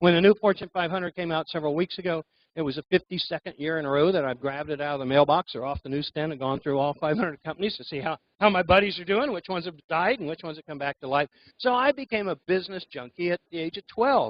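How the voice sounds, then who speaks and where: A man with an American accent, high-pitched, at a very fast pace. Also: ordinary pitch variation, big swings in loudness. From US Midwest (Anderson, Indiana). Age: 60s. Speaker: business speaker. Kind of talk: talk to a live audience. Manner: many fillers (uh, um).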